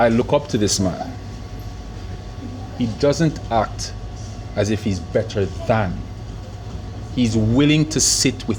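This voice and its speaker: The speech moves at a very slow pace with very even loudness and long, frequent pauses over noticeable background noise. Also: man. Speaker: show host. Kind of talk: casual chat. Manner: halting, stuttering.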